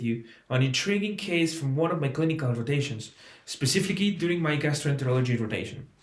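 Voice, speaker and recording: In a room with audible echo, a man with a fairly high pitch talks at a very fast pace. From Mexico, Oaxaca. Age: 20s. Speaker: medical student. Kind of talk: application presentation, partly scripted. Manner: formal.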